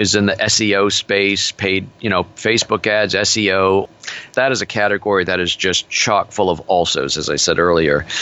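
At a moderate pace, a man with a fairly low pitch speaks with fairly even intonation and very even loudness. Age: 60s. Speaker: business coach. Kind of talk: interview. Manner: forceful.

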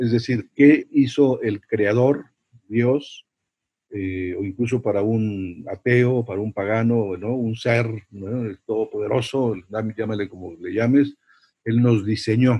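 Somewhat breathy, a man speaks at a very slow pace with medium pitch, fairly even intonation, and big swings in loudness. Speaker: priest and university chaplain. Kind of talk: interview talk on evangelization.

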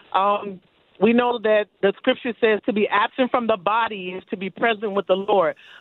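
A woman with an American accent speaks at medium pitch and a moderate pace. Hers is an unremarkable speaking voice. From US, Florida. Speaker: caller. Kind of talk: call-in question. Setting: phone call. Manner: excitable.

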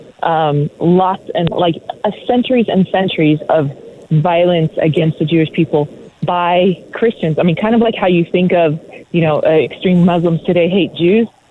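Noticeable background noise behind a woman with an American accent, fairly low pitch and a moderate pace. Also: ordinary pitch variation, very even loudness. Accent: American-sounding English. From Israel. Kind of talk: interview. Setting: remote call from Israel.

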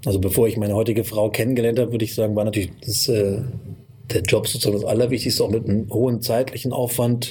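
Very fast and monotone, a man speaks with flat intonation. His pitch is medium. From northern Hesse, Kassel. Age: 40s. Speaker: media entrepreneur and magazine publisher. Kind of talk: interview.

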